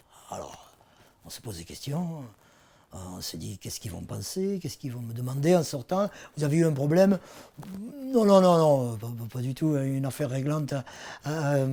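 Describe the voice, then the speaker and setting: A man with a dark, mellow tone and fairly high pitch uses lively intonation and big swings in loudness, leaving long, frequent pauses. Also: moderate pace. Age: 60s. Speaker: patient giving testimony. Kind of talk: testimony. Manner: halting, many hesitations.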